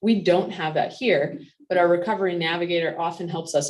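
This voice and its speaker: Her voice sits fairly low in pitch, and the woman talks at a moderate pace with fairly even intonation. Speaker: physician. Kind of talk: educational talk with Q&A. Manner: loud.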